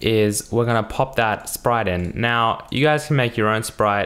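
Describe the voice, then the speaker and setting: This man has a plain, everyday voice. He speaks at a medium pitch and a fairly slow pace. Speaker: programming tutorial youtuber. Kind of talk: tutorial. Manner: casual, many fillers. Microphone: new microphone.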